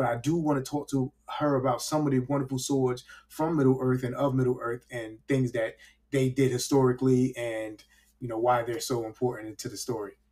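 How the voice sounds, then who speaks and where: Somewhat breathy and dark, mellow in tone, a man talks at a fairly quick pace with a New York accent. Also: medium pitch for a man. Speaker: podcast host. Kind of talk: casual chat. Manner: animated.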